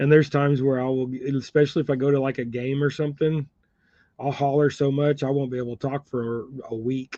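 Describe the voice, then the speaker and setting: In a Southern US accent, a man talks at a very fast pace, his voice fairly high in pitch with a dark, mellow tone and monotone, flat intonation. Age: 50s. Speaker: fishing livestreamer tying crappie jigs. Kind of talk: casual livestream chat. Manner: casual, rambling.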